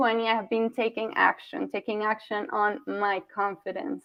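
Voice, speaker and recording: A woman with a Colombian accent talks at a moderate pace and a fairly high pitch. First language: Spanish. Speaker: communication coach. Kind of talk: workshop presentation.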